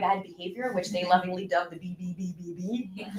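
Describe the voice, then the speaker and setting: A woman talks fairly quickly with noticeable background noise behind her. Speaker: gifted program coordinator. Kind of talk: presentation to school board. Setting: public meeting.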